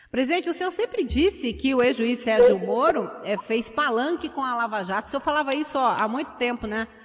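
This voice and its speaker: Over noticeable background noise, a woman speaks at a fairly quick pace in a high pitch with lively intonation. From Curitiba, Brazil. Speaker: radio journalist. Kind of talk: radio interview. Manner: halting.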